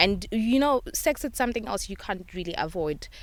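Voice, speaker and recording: A woman's voice makes very wide pitch swings. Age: 20s. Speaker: young mother sharing experience. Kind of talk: testimony.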